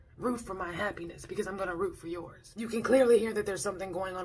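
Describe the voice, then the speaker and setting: Noticeable background noise is present. The speaker's intonation is fairly even. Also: woman. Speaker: vlogger. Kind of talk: casual vlog talk.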